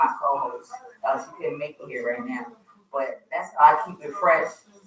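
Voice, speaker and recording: Moderate pace with an American accent. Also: woman. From US East Coast (Wilmington, Delaware). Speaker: radio host. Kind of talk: casual chat.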